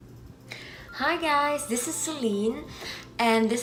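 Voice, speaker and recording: A woman with a non-native accent speaks high and with lively intonation, over noticeable background noise and audible room echo. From Belgium. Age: 20s. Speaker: exchange student vlogger. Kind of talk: casual vlog talk. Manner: hesitant, many fillers.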